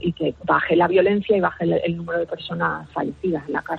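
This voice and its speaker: This is a woman speaking. She talks with a Canary Islands accent. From Canary Islands (Lanzarote). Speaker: forensic psychologist. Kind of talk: radio interview.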